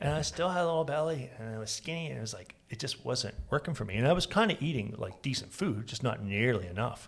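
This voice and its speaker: With an American accent, this somewhat breathy voice races at a very fast pace with hardly any pauses and very wide pitch swings. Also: man, medium pitch for a man. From Florida. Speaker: podcast host. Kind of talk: casual chat.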